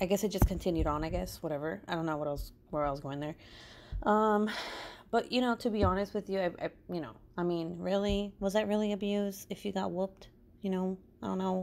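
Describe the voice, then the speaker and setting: A woman talks at a fairly quick pace. Her pitch variation is ordinary. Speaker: crafting true crime narrator. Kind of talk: casual podcast-style storytelling. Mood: casual, joking.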